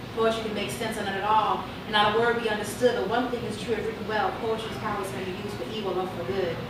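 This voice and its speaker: A woman with an American accent talks at a very fast pace with hardly any pauses, in a fairly high pitch and monotone, flat intonation, amid audible room echo and noticeable background noise. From Chicago. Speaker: poet. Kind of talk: spoken word poetry performance. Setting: live bar open mic. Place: bar.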